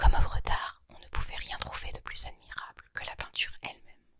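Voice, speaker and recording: Someone whispers at a moderate pace. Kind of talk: whispered ASMR reading of a short story. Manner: whispered, soft.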